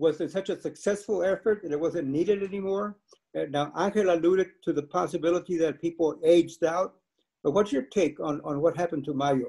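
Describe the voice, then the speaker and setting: Against a quiet background, a man with an American accent talks at a fairly quick pace in a high pitch, his tone dark and mellow and his intonation fairly even. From Texas. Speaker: panel moderator, professor emeritus. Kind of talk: panel moderation. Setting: video call. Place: home room. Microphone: video call.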